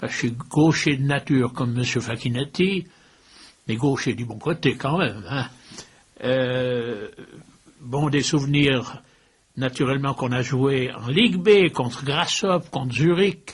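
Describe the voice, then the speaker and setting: A somewhat breathy man at a medium pitch with ordinary pitch variation, speaking at a fairly slow pace with long, frequent pauses. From Switzerland, Valais (Saint-Maurice). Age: 80s+. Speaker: former football club president. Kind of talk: interview.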